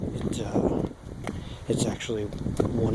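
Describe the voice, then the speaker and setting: A soft-spoken man is heard over noticeable background noise. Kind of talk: ASMR hiking narration. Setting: outdoors.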